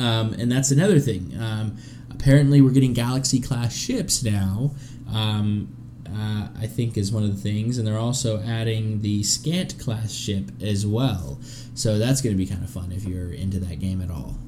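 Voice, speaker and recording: Lively in intonation, a man with an American accent speaks at a moderate pace and a fairly low pitch. Room echo is audible. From US South. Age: 30s. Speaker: podcast host. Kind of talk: casual chat.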